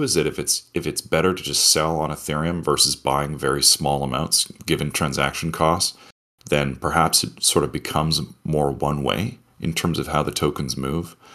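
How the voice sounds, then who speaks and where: Vocal fry at a moderate pace. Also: man. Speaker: protocol CTO explaining governance. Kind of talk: technical explanation. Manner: excited about project.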